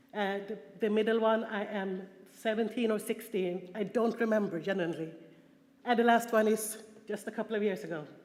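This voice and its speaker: A woman in a Swedish accent talks at a fairly quick pace and fairly high pitch with fairly even intonation, amid audible room echo. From Sweden. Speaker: prostitution survivor and conference speaker. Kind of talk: conference talk. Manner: halting, with fillers and repetitions.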